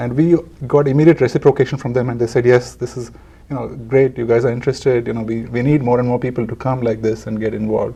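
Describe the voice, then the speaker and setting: In a Telugu accent, the speaker races along at a very fast pace with a dark, mellow, somewhat breathy tone and fairly even intonation. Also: man, medium pitch for a man. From India (Bangalore, Calcutta). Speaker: charity founder. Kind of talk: interview.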